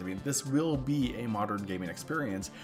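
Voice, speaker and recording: Over music in the background, a man speaks at a medium pitch with very wide pitch swings. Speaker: gaming YouTuber. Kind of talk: casual talk to camera.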